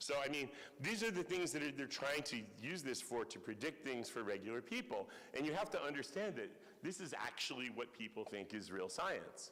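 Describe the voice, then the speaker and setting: An American-accented man speaks with a bright, sharp tone and very wide pitch swings. Audible room echo surrounds his voice. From US Northeast. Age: 60s. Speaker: professor. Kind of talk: lecture.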